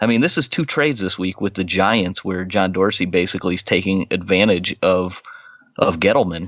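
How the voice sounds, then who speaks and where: Speaking at a fairly quick pace, a man has a fairly low pitch and fairly even intonation. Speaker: sports podcast host. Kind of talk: casual chat. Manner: speaking low.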